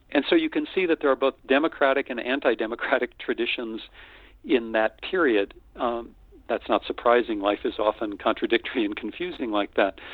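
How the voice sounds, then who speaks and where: A man with an American accent and a normal speaking voice, medium in pitch, fairly quick in pace, with ordinary pitch variation. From US Midwest, North Dakota. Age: 60s. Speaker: retired journalism professor. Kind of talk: interview.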